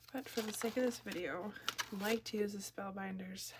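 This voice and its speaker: Over noticeable background noise, a woman with an American accent speaks at medium pitch with fairly even intonation. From Minnesota, US. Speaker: card-making crafter, kindergarten teacher. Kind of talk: crafting tutorial. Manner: casual, chatty.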